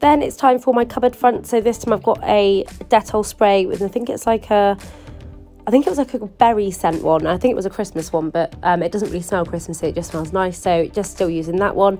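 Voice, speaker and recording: Over background music, a woman talks at a fairly quick pace, her medium pitch showing ordinary variation. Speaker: lifestyle YouTuber. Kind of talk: casual voice-over for a cleaning vlog.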